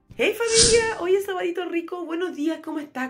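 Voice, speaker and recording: Fairly quick speech from a woman. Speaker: home vlogger. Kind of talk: casual vlog chat. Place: home room. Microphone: phone near.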